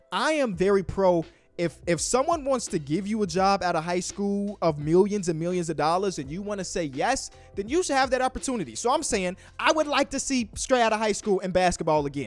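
Against faint background music, a man talks at a fairly quick pace in a dry sound with no echo. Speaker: basketball commentator. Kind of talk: commentary. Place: home room. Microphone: handheld.

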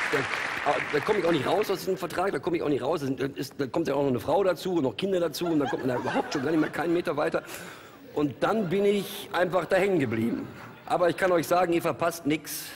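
A high-pitched man at a very fast pace, with ordinary pitch variation and noticeable background noise. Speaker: TV talk show guest. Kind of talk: casual banter. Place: studio. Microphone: headset.

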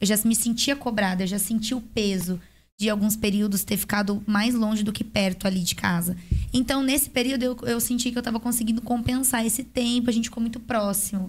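A somewhat breathy voice with a Brazilian accent, fairly quick in pace, with fairly even intonation and very even loudness. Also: woman, fairly high pitch for a woman. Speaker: podcast host and dentist; podcast host. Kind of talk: casual chat. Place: studio. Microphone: studio mic.

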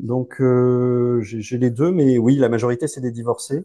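A man's dark, mellow tone at a fairly slow pace against a quiet background. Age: 40s. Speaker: divorced father; interview guest. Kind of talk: casual interview. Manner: halting. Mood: relaxed, smiling. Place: home room. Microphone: lapel.

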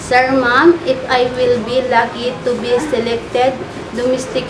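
A woman speaks at a fairly slow pace in a high voice. Noticeable background noise runs under her. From Philippines. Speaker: domestic helper applicant. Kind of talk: job interview. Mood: earnest, polite. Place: home room. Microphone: phone near.

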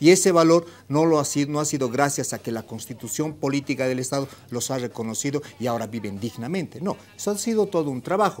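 Very fast speech from a man with a fairly high pitch and lively intonation. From Bolivia. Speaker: TV panelist. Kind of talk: panel debate. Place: studio. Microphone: lapel.

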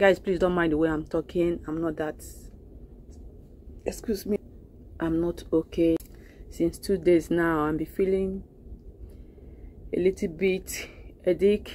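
A woman speaks very slowly with long, frequent pauses, her fairly low voice dark and mellow with fairly even intonation and a dry sound with no echo. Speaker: shop owner vlogger. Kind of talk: casual vlog chat. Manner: weak, congested sick voice. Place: shop. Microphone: phone near.

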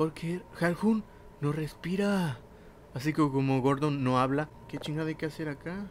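A fairly high-pitched man with a Mexican accent, a fairly slow pace and ordinary pitch variation. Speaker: gaming youtuber. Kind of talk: let's play commentary. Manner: animated.

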